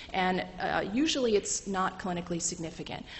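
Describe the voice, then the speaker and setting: With audible room echo, a woman speaks at a fairly quick pace and a fairly low pitch. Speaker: medical lecturer. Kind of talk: lecture. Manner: fast.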